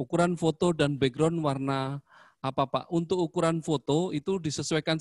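A man with an ordinary speaking voice talks at a fairly quick pace with ordinary pitch variation, in a dry sound with no echo and a quiet background. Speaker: school principal; presenter. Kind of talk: information session presentation. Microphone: voice sounds too quiet; handheld.

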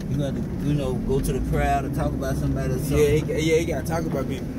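Loud background noise behind a man's voice. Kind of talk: casual vlog chat. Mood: relaxed, laughing. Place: car. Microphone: phone near.

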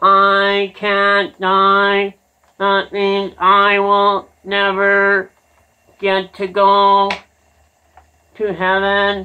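A cartoonish character voice, female-sounding and medium in pitch, with monotone, flat intonation, a very slow pace and long, frequent pauses. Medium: puppet show. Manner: naive, pleading.

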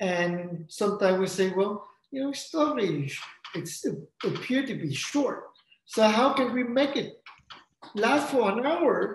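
A man speaks at a fairly slow pace with long, frequent pauses. Audible room echo fills the recording. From Vietnam. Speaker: opera composer and librettist. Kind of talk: interview. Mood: calm, reflective. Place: home room. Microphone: video call.

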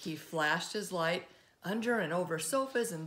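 Audible room echo surrounds a woman speaking at a moderate pace. Her tone is fairly bright and her intonation lively.

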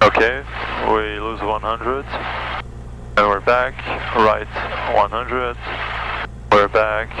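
Speaking very slowly in a French accent, a man with a very deep, low pitch makes very wide pitch swings, with a dry sound that has no echo and noticeable background noise. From France. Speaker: student pilot. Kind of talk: casual chat during flight lesson. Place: plane. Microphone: headset.

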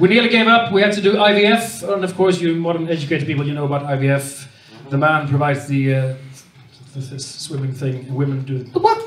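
A man in a Swedish accent talks at a fairly quick pace with lively intonation and audible room echo. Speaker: stand-up comedian. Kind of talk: stand-up. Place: stage.

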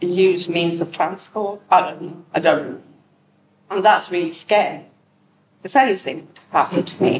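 Fairly low pitch from a woman, a fairly slow pace with long, frequent pauses, ordinary pitch variation and noticeable background noise. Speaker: speaker with lived experience of mental illness; speaker. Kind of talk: personal testimony talk. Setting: in-person community event with audience. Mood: reflective, earnest. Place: hall. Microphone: camera far.

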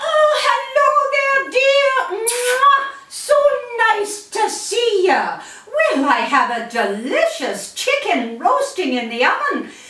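A woman does a cartoonish character voice at an extremely high pitch with very wide pitch swings. She speaks at a very slow pace, with a slight echo. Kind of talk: puppet show character dialogue. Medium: puppet show. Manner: chatty, fretful. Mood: warm, apologetic.

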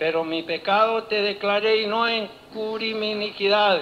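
The man's voice is high in pitch, and he talks very slowly. Noticeable background noise is present. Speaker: preacher. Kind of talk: sermon. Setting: church. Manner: formal; animated.

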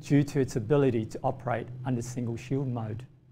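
A man's dark, mellow voice with vocal fry and fairly even intonation, over noticeable background noise. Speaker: presenter. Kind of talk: lecture. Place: studio. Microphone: lapel.

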